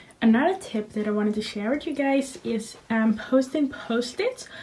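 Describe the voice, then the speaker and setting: Speaking at a moderate pace, a woman with a Dutch accent sounds somewhat breathy, her fairly high pitch moving with ordinary variation. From Netherlands. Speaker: university student. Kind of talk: tutorial. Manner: hesitant, many fillers.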